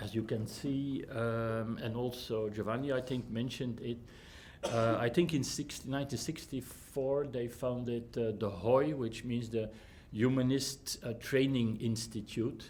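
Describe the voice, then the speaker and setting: A man speaks at a fairly slow pace with fairly even intonation, and audible room echo surrounds his voice. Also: medium pitch for a man. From Flanders, Belgium. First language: Dutch (Flemish). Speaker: humanist counsellor and trainer. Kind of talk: lecture. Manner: halting, many fillers.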